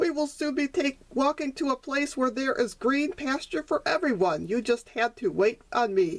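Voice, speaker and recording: A woman in a high, put-on character voice at a moderate pace. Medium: read story.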